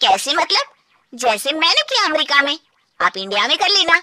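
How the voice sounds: A woman uses a cartoonish character voice at a high pitch, with very wide pitch swings. Her moderate pace comes through in a dry, close sound with no echo.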